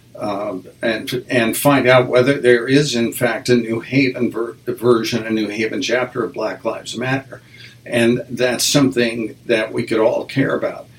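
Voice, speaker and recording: Delivered at a fairly slow pace in a flat monotone with an American accent, the speech comes over noticeable background noise. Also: man, medium pitch for a man. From US Midwest (Nebraska, Wyoming). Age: 70s. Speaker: jazz musician and music teacher. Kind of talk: interview. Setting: studio.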